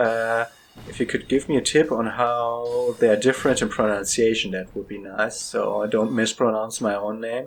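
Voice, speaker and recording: A man speaks at a moderate pace in a medium-pitched voice with fairly even intonation, though his loudness swings widely and there's noticeable background noise. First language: not English. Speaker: gaming video creator. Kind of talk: let's play commentary. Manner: halting, many fillers.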